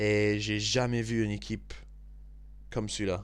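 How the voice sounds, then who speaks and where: With a British accent, a man speaks at a very slow pace. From Scotland and England. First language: English (speaking French). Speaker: football video commentator. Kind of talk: angry football debrief monologue. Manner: halting, stumbling over words; animated.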